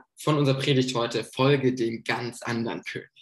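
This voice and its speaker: A man's somewhat breathy voice with audible room echo. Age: 20s. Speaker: theology student, intern preacher. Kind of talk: sermon.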